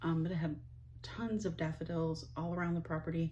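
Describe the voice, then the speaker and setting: A woman's fairly low-pitched voice with vocal fry and a dark, mellow tone at a moderate pace. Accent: Ohio. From US Midwest, northeast Ohio. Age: 50s. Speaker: vlogger, stay-at-home mom. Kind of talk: casual monologue to camera. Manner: rambling, hesitant with fillers.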